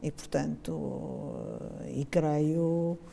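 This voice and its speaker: Her voice as a woman is dark and mellow in tone. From Mozambique. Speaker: textile engineer. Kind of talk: casual reminiscing interview.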